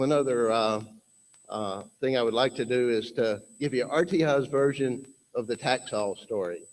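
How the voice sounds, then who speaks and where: A man's medium-pitched voice in a Southern US accent, with ordinary pitch variation. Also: moderate pace. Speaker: conference speaker, research institute representative. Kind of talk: conference presentation. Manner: halting, many fillers.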